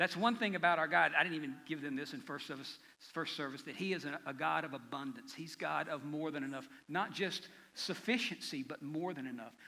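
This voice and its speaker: Fairly high for a man, the voice has a bright, sharp tone and moves at a fairly quick pace. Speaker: pastor. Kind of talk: sermon. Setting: church. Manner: fast.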